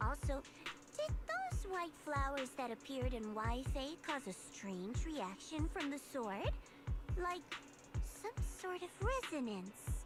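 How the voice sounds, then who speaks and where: Over clear music in the background, a female-sounding, cartoonish character voice with a high pitch speaks at a fairly slow pace. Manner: earnest, sincere.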